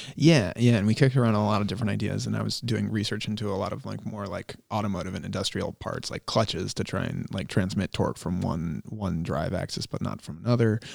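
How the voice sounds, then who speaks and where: A man with a fairly low pitch, vocal fry and an American accent talks at a very fast pace with hardly any pauses and ordinary pitch variation. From Rhode Island, US (Cumberland). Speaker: mechanical designer and project manager. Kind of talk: casual interview.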